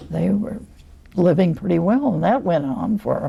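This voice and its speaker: Her pace is fairly slow. This woman's speech carries noticeable background noise. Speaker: retired navy nurse, war veteran. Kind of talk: interview answer.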